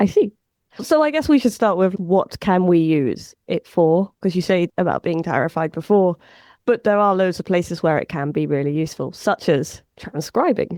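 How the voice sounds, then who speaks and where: A woman at medium pitch speaks with lively intonation at a moderate pace, her sound dry and close with no echo against a quiet background. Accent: English. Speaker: podcast host, data scientist. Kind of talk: casual podcast discussion.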